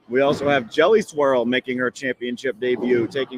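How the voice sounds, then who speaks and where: This is a man with a medium-pitched voice. Noticeable background noise runs underneath. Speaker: bowling stream host and bowler. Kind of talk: live sports commentary. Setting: bowling alley, live stream. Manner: casual, some hesitations.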